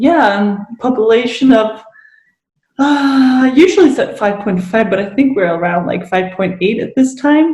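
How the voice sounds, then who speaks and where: Audible room echo surrounds a woman whose fairly high voice carries lively intonation at a moderate pace. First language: Danish. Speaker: guest sharing recovery story. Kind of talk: interview.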